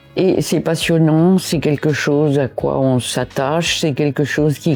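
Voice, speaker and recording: With music in the background, a woman speaks at a very slow pace in a very deep, low voice with ordinary pitch variation. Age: 90s. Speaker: association member, elderly care advocate. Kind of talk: interview testimony.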